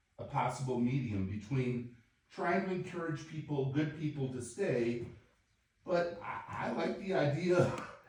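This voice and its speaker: Fairly high-pitched and lively in intonation, a man talks at a fairly slow pace with audible room echo. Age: 60s. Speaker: city council member. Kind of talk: public meeting discussion.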